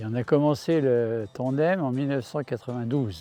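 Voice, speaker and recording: Music plays in the background as a man talks. His pitch is medium, with ordinary pitch variation. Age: 80s+. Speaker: retired cyclist. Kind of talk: interview testimony. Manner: hesitant with fillers.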